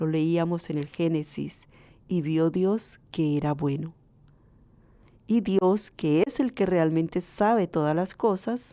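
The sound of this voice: Very slowly, a woman speaks at a fairly low pitch in a dark, mellow tone with ordinary pitch variation, in a very clean recording with a silent background.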